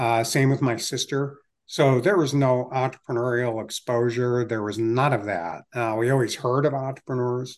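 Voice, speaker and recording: With an American accent, a man has an unremarkable speaking voice at medium pitch and fairly even intonation. He talks at a fairly slow pace against a quiet background. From Ohio, Cleveland area. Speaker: investor and entrepreneur. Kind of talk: interview conversation.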